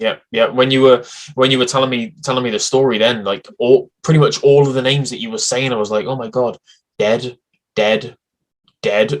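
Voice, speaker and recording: A man speaks with a British accent at a moderate pace. His speech has long, frequent pauses. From Britain. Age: 30s. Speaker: podcast host. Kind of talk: interview.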